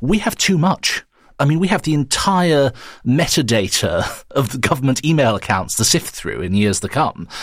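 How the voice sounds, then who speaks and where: Vocal fry runs through this man's fairly high voice as it makes very wide pitch swings at a moderate pace. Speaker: journalist and author. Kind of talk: panel discussion.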